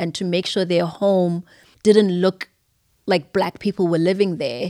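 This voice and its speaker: Dry and close with no echo, this very clean recording with a silent background captures a woman of medium pitch speaking at a moderate pace in a dark, mellow tone. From Zimbabwe. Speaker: young adult ministry leader. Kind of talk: casual chat.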